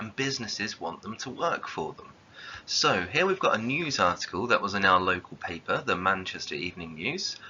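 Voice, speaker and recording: This man talks at a moderate pace in a southern English accent, his intonation lively. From southern England. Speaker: geography teacher. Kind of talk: lecture.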